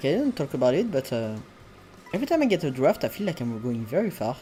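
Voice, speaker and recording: Very fast speech in a non-native accent. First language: not English. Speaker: video game streamer. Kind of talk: live gameplay commentary. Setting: live stream. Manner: hesitant, self-correcting.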